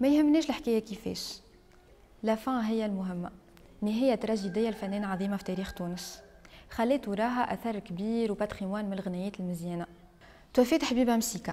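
Speaking at a fairly quick pace with a Tunisian accent, a woman uses a fairly high, dark, mellow voice with ordinary pitch variation. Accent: Tunisian Arabic with French code-switching. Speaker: storytelling video host. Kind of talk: scripted narration. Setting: on location in historic house.

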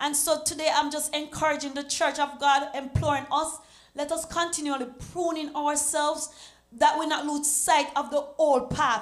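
A woman's high-pitched voice at a moderate pace, monotone and flat in intonation, over a quiet background. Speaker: church member; evangelist teaching a lesson. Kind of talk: church Bible study discussion. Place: church. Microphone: handheld.

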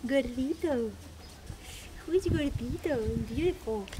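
A woman's high-pitched, dark, mellow voice at a fairly slow pace, with lively intonation and faint background noise

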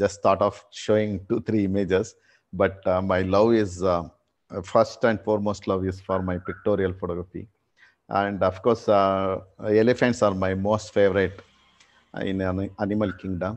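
The man's fairly low voice stays monotone and flat at a moderate pace. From India. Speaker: photographer. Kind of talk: interview. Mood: calm, warm. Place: home room. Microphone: video call.

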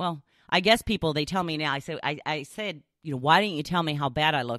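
The recording has a dry sound with no echo and a quiet background. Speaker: podcast host. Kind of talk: casual podcast monologue, reading a blog post. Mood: light, chatty, self-deprecating. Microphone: studio mic.

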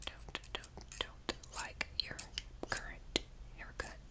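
A woman whispers at a very slow pace in a menacing tone. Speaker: ASMR creator. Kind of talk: role-play talk to viewer. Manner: soft close-mic ASMR voice, slightly menacing. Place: home room. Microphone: studio mic.

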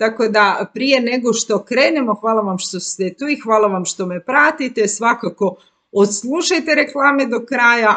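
In a bright, sharp tone, a woman speaks at a fairly slow pace with ordinary pitch variation against a quiet background. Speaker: life coach. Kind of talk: casual educational talk to viewers. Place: home room. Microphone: webcam.

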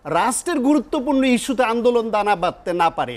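A man with an extremely high-pitched voice. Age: 50s. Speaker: university teacher and think tank secretary; talk show guest. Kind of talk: political talk show debate. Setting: TV studio. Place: studio.

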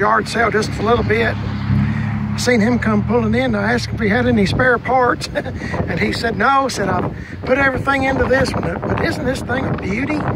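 Over loud background noise, a man talks at a moderate pace with hardly any pauses, in a dry sound with no echo. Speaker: vlogger at yard sale. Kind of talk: casual vlog chat. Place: open country. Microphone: phone near.

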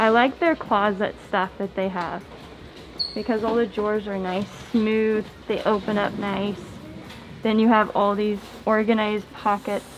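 A woman at a fairly slow pace, monotone and flat in intonation, with long, frequent pauses and faint music in the background. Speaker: family vlogger mother. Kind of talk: casual vlog chat. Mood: cheerful, admiring. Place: shop. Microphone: phone near.

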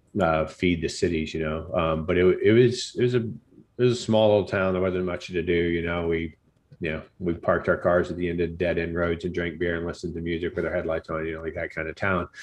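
A man with a very deep, low pitch talks at a very fast pace with fairly even intonation. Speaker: podcast guest. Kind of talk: interview answer. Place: home room. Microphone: studio mic.

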